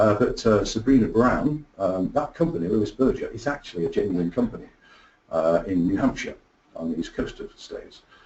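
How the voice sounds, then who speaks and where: A man with an English accent at a fairly quick pace, with big swings in loudness. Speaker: product marketing executive. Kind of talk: webinar presentation. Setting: online webinar.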